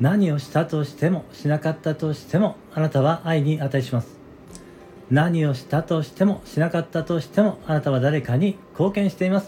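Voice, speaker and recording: Over music in the background, a man talks at a moderate pace. His pitch is fairly high, with ordinary variation. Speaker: neurotherapist and audio-app show host. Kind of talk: solo casual talk broadcast. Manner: hesitant with many fillers.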